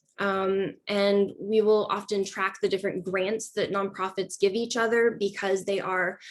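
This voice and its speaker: Against a quiet background, a woman speaks in a monotone, flat intonation with hardly any pauses. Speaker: money-in-politics researcher. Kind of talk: workshop presentation. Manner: fast. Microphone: video call.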